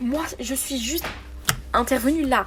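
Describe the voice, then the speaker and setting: A woman speaks over noticeable background noise. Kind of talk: voice message testimony. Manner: fast; casual, slangy.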